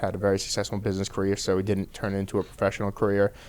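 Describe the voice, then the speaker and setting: With a strong Boston accent, a man races along at a very fast pace in a fairly low pitch on a very clean recording with a silent background. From Boston area, Massachusetts (Peabody). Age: 30s. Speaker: professional MMA fighter. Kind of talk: podcast interview. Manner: casual, lots of fillers.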